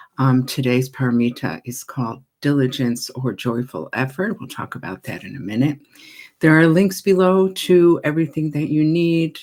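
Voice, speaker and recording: A woman with an American accent and a very deep, low pitch talks at a moderate pace, with lively intonation and big swings in loudness. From United States. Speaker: Buddhist teacher. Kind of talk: casual welcome to online viewers.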